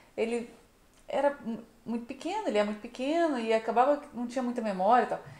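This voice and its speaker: Very fast speech broken by long, frequent pauses, with ordinary pitch variation and audible room echo. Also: woman, high pitch for a woman. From Brazil, Niterói (Rio de Janeiro); Brazil. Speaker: travel vlogger. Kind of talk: casual vlog chat. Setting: outdoors. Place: home room. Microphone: camera far.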